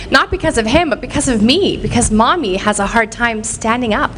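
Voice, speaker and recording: Over noticeable background noise, a woman talks loudly at a fairly quick pace with lively intonation. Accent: Canadian. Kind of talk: inspirational speech. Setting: stage with audience. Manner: animated.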